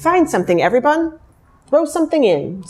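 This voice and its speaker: A woman puts on a character voice, pitched high and delivered at a fairly quick pace. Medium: read story. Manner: exclaiming.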